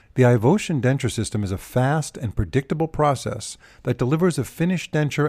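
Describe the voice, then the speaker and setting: On a very clean recording with a silent background, the somewhat breathy voice moves at a fairly quick pace with lively intonation. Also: man. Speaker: podcast host. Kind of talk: interview.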